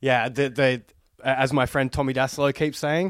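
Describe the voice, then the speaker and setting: This man speaks with an Australian accent and a fairly high pitch. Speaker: podcast host. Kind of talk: casual chat. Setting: video call.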